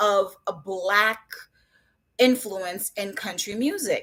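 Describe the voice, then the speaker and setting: Very slowly, a woman speaks in a slight Southern US accent. Her tone is bright and sharp. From Jamaica, then Brooklyn, New York from age six. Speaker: children's book author. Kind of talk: interview on live stream.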